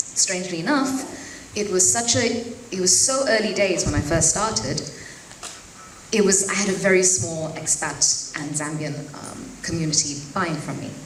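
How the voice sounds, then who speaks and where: A woman at medium pitch, with very wide pitch swings and a moderate pace, is heard through audible room echo and noticeable background noise. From Zambia (Lusaka). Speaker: fashion designer. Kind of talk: speech at networking event.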